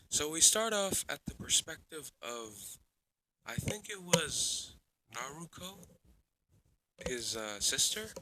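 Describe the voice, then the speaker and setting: A man speaks at a very slow pace with fairly high pitch and very wide pitch swings. His loudness swings a lot. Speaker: fan fiction YouTuber. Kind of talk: casual storytelling narration. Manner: casual, filler words.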